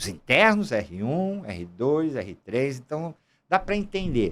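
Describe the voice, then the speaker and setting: A man talks at a fairly slow pace. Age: 60s. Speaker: gynecologist. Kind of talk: casual chat.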